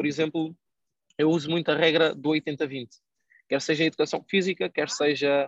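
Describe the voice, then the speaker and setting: A man's fairly high voice at a moderate pace, with fairly even intonation, very even loudness, long, frequent pauses and a dry, close sound with no echo. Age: 20s. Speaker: online entrepreneur and investment educator. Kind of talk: casual interview.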